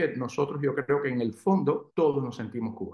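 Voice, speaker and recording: A man at a fairly quick pace, his pitch fairly high. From Cuba. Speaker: pediatrician. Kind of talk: interview.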